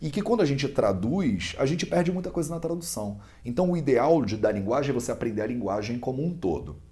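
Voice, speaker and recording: In a Carioca accent, a man with a dark, mellow tone and medium pitch makes very wide pitch swings, barely pausing, amid audible room echo. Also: fairly quick pace. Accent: clear carioca. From Brazil, Rio de Janeiro. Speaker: Ayurveda student and teacher. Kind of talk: interview explanation. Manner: conversational with hesitations.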